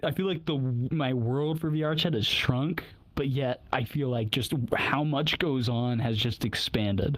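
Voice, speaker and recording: Over noticeable background noise, a man with a fairly high pitch talks at a fairly slow pace, with very even loudness and ordinary pitch variation. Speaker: podcaster. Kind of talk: casual chat.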